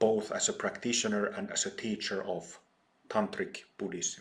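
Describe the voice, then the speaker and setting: A man speaks with a Finnish accent. His pace is fairly slow. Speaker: Buddhist teacher. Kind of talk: dharma talk. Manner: halting, many fillers.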